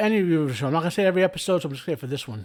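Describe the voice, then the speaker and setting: A man speaks with lively intonation. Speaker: TV review youtuber. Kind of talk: casual spoken review. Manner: casual, halting with fillers.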